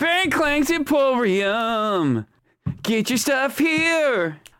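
Someone does a put-on character voice, high-pitched and delivered at a very slow pace. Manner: cheerfully hawking wares.

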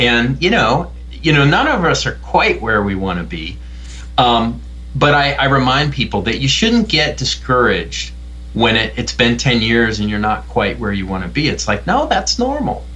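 Talking at a moderate pace, a man with an American accent is heard. Noticeable background noise and audible room echo fill the recording. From US Midwest. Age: middle-aged. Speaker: film director and professor. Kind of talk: interview.

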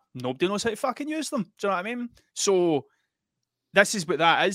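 A man with an Ayrshire accent and lively intonation. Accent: Ayrshire Scottish. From Scotland, Ayrshire. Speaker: musician and artist. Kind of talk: casual chat.

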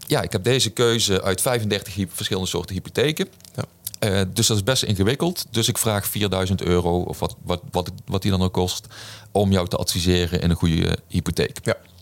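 An ordinary speaking voice from a man, fairly low in pitch, at a moderate pace with ordinary pitch variation, on a very clean recording with a silent background. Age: 40s. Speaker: business coach and author. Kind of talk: podcast interview.

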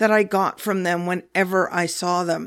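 Delivered in a monotone, flat intonation with a Pacific Northwest accent, the voice comes through on a very clean recording with a silent background. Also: woman. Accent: General American, Pacific Northwest. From US Pacific Northwest, Olympia, Washington. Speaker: podcast host, spiritual teacher on whales and dolphins. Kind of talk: spiritual talk / monologue.

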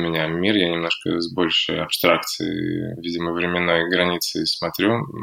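Against noticeable background noise, a man speaks at a moderate pace with a very deep, low pitch. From Russia, Sosnovy Bor. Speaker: founder of a fashion and art project. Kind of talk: interview.

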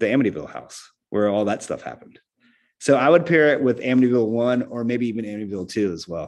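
Speaking at a very fast pace, a man with an American accent uses a medium pitch and ordinary pitch variation over a quiet background. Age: 40s. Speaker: rock drummer. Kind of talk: casual interview chat. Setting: remote call from home music room.

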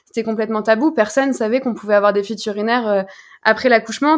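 The background is silent, and the recording is very clean. Speech rushes by at a very fast pace. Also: woman. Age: 20s. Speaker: founder of a lingerie brand. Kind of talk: interview.

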